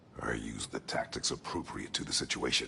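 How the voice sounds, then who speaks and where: A man speaks in a put-on character voice with a very deep, low pitch. Clear background noise is present. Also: fairly quick pace. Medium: video game. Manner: terse, gruff.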